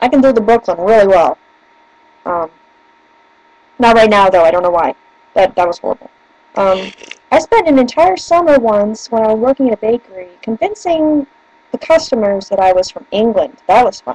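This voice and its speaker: A woman with a slight northern US accent speaks at a moderate pace in a fairly high pitch, with very wide pitch swings and long, frequent pauses. The sound is dry and close with no echo, yet noticeable background noise is present. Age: 20s. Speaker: vlogger. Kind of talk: casual chat. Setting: webcam video at home. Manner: animated.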